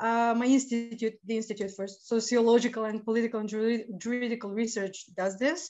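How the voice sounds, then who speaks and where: A woman speaks at a fairly quick pace. Her intonation stays fairly even. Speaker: remote guest. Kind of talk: interview answer. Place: home room. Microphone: video call.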